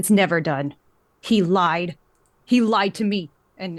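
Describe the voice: Using a put-on character voice, a woman speaks at medium pitch and a fairly slow pace.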